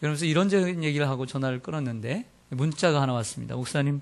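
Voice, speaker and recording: A man's medium-pitched, normal speaking voice with ordinary pitch variation. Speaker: pastor. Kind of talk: sermon. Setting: church.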